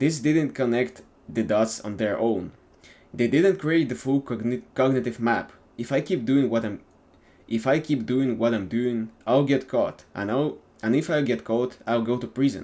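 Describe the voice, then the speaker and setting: This man has a non-native accent and a dark, mellow tone at medium pitch. He speaks at a moderate pace with ordinary pitch variation. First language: not English. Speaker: YouTuber. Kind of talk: reading aloud from a book. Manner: halting, self-correcting.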